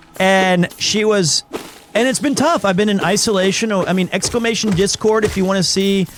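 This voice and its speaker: A man speaks in a high voice. Noticeable background noise runs behind him. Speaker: streamer playing a video game and reading its dialogue aloud.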